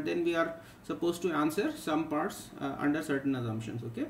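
A man speaks over light background noise, with audible echo from the room. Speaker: physics teacher. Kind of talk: tutorial. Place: home room. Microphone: webcam.

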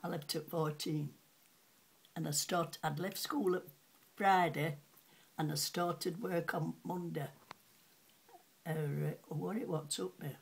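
In a Yorkshire accent, a woman talks with a very deep, low pitch, vocal fry and ordinary pitch variation, leaving long, frequent pauses. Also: fairly slow pace. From Sheffield, England. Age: 80s+. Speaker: retired cutlery polisher. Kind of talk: interview answer. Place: home room. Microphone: webcam.

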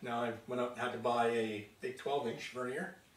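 The voice carries an audible room echo over light background noise. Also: man. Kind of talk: casual workshop vlog chat. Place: workshop. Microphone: camera far.

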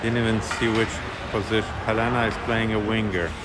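Loud background noise fills the recording as a man speaks at a moderate speed. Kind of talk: casual commentary. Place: stadium. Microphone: phone near.

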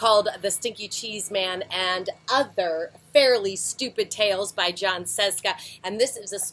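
The reading voice is unforced. It is used to read text aloud.

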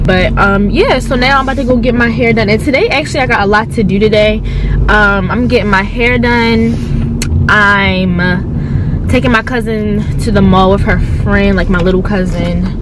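Delivered at a moderate pace, the speech sounds dry with no echo against noticeable background noise. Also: woman. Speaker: vlogger. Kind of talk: casual vlog chat. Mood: chatty, a bit nervous. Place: car. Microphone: phone near.

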